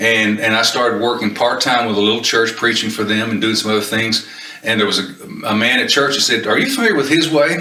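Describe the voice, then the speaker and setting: A man with a Kentucky accent at a very fast pace, medium pitch, ordinary pitch variation and very even loudness, with audible room echo and noticeable background noise. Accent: Southern US (Kentucky). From Kentucky (Paducah), US South. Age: 70s. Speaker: retired minister, volunteer Bible teacher. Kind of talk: interview, personal testimony. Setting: on location at recovery campus. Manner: halting, with frequent fillers.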